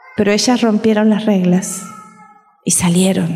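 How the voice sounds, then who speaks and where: A woman's medium-pitched voice, monotone and flat, with audible room echo and music in the background. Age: 60s. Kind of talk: sermon.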